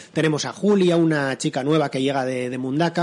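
A man with a fairly high voice at a fairly quick pace. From San Sebastián, Basque Country, Spain. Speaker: crime novelist. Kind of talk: interview. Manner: halting, many repetitions.

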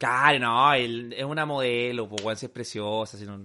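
A man with a Chilean accent and a bright, sharp tone, at a moderate pace against a quiet background. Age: 30s. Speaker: podcast co-host. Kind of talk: casual chat.

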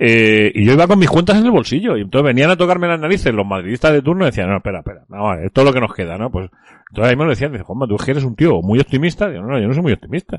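The voice races at a very fast pace, animated in tone and swinging very widely in pitch. The sound is dry and close with no echo, over a quiet background. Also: man. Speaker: radio host. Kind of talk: casual chat.

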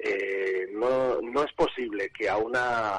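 With no echo at all, a man's voice comes across dry and close. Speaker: regional political activist. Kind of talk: interview.

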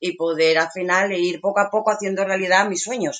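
At a moderate pace, a woman with a medium-pitched voice speaks in a plain, everyday voice with fairly even intonation. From Asturias, Spain. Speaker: market stall vendor living in a truck camper. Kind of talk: casual interview.

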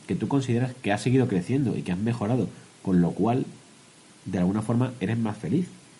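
Pitched fairly low, a man talks at a fairly quick pace with ordinary pitch variation. His tone is dark and mellow. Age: 20s-30s. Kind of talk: casual chat.

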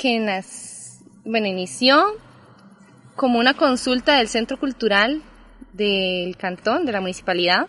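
Fairly slow speech from a woman with a fairly high pitch and ordinary pitch variation. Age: 20s. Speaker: sociologist. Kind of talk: casual interview. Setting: outdoors in a park.

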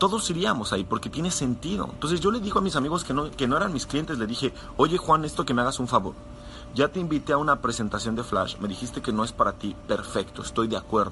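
Against noticeable background noise, a man talks at a very fast pace in an animated tone, his fairly high voice making very wide pitch swings. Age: 20s. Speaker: network marketing sales leader. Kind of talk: motivational live talk.

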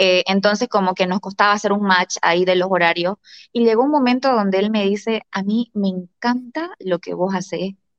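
Mid-range female speech with a normal rise and fall in pitch. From Bolivia. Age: 30s. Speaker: real estate broker. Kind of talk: interview. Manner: animated.

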